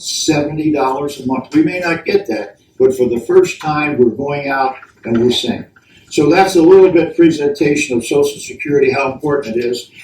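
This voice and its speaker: A man with an American accent and an ordinary speaking voice talks at a moderate pace, his fairly high pitch showing ordinary variation. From Baltimore, Maryland. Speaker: senior advocacy lobbyist. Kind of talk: roundtable presentation.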